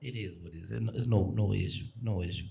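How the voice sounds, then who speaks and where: A somewhat breathy voice at a fairly quick pace, with audible room echo. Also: man. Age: 40s. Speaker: dating show contestant. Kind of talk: casual chat.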